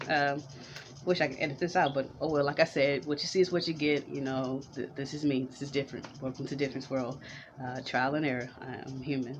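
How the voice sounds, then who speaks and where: A woman's very deep, low voice, monotone and flat, over noticeable background noise. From Houston, Texas (Fifth Ward). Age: 30s. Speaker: vlogger and entrepreneur. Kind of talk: casual vlog monologue. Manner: halting, many fillers. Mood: warm, reflective, smiling. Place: home room. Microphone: webcam.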